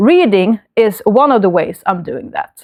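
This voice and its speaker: In a Swedish accent, a woman with a fairly high pitch speaks at a fairly slow pace, the sound dry and close with no echo. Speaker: book vlogger. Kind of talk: casual book review vlog. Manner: hesitant, many fillers.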